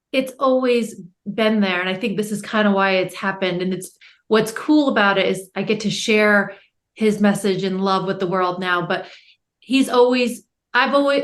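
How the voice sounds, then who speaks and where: A plain, everyday voice with an American accent and ordinary pitch variation. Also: woman, medium pitch for a woman, moderate pace. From United States. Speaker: educator and author's daughter. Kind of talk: podcast interview.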